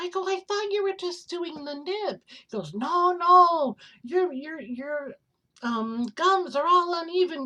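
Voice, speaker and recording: A woman speaks in a raised, projected voice with a bright, sharp tone and extremely high pitch. Her pitch swings very widely at a fairly slow pace. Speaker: vlogger. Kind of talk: casual chat. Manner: animated.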